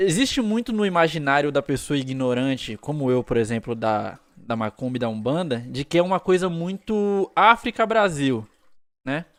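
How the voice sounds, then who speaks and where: Recorded dry and close with no echo, a man speaks at a moderate pace. His fairly high voice swings very widely in pitch. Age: 30s. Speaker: podcast host. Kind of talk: casual interview chat.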